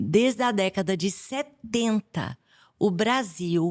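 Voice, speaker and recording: The speaker has a Bahian accent and lively intonation. The recording is very clean, with a silent background. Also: woman. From Bahia, Brazil. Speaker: infectious disease doctor. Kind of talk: podcast interview.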